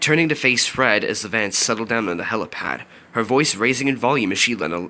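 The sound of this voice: The reading voice is unforced. Its intonation rises and falls in a lively way.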